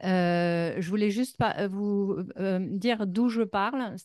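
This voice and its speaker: Over a quiet background, a woman with a medium pitch speaks in a dark, mellow tone with fairly even intonation, the sound dry and close with no echo. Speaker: psychologist, speaker sharing her path. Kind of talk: public talk, personal testimony. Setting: stage with audience at a festival. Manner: hesitant, many fillers.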